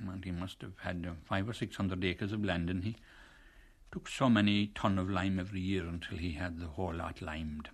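Here is a man with a Kerry accent and a very deep, low pitch. He keeps a fairly quick pace and fairly even intonation against a quiet background. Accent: rural Kerry Irish. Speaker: retired lime burner. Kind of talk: oral history storytelling.

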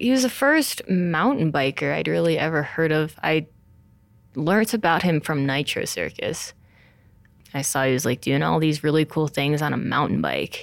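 At a moderate pace, a woman with an American accent speaks in a very clean recording with a silent background. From New Jersey, US (Montclair). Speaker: pro mountain biker. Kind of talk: interview.

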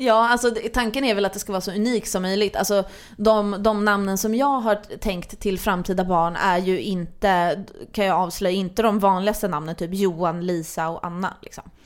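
A woman with a normal speaking voice, medium pitch and fairly even intonation at a fairly quick pace, on a very clean recording with a silent background. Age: 20s. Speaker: podcast host. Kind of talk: casual chat.

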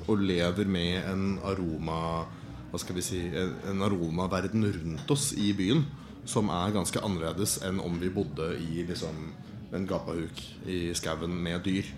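In a room with audible echo, a man with a very deep, low voice speaks at a fairly slow pace with ordinary pitch variation. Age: 30s. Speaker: wine importer and producer. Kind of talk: live podcast conversation. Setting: stage with audience.

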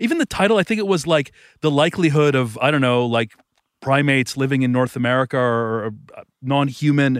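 A man with a normal speaking voice and a Canadian accent, fairly high in pitch, at a fairly quick pace, with ordinary pitch variation, very even loudness, and a very clean recording with a silent background. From Canada, Thornhill outside Toronto. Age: 40s. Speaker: author. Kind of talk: interview conversation. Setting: outdoors by a lake.

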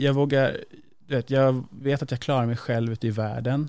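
Very clean recording, silent background: a man speaks in a normal speaking voice at medium pitch. He goes at a fairly slow pace with fairly even intonation. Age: 30s. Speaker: podcast guest. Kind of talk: casual chat.

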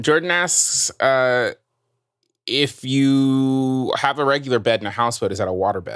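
A man speaks in a normal speaking voice at a fairly slow pace. His pitch is medium, with ordinary pitch variation. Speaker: podcast host. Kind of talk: casual comedy chat.

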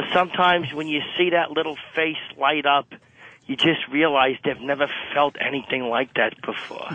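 At a moderate pace, a man with a fairly high pitch talks in an ordinary speaking voice with fairly even intonation. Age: 50s. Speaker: caller. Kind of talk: radio call-in. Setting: phone call. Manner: laughing.

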